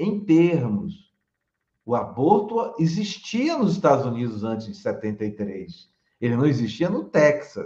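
A man speaks at a very slow pace with a dark, mellow tone and vocal fry. His fairly high pitch makes very wide swings. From Bahia, Brazil (Salvador). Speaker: law professor. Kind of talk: interview. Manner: halting.

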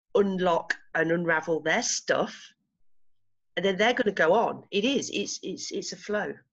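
With an English accent, a woman speaks at a fairly slow pace and medium pitch, with ordinary pitch variation. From England. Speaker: retreat organiser and coaching client. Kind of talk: interview. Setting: video call.

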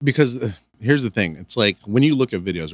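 With an American accent and lively intonation, a man speaks in a dry, close sound with no echo, captured in a very clean recording with a silent background. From Michigan, US (Canton, near Detroit). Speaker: music video director. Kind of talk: casual chat.

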